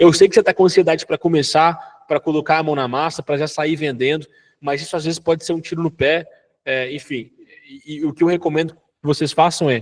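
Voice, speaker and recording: A very fast man's voice, fairly high in pitch, with fairly even intonation. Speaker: online business course instructor. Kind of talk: live online class. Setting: live online class with members.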